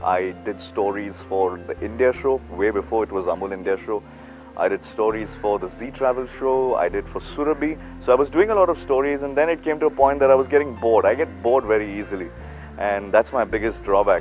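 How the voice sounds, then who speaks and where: Music plays in the background as a man talks at a fairly quick pace. His medium-pitched voice has lively intonation. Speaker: radio jockey and voice-over artist. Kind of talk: interview answer. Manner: casual, hesitant.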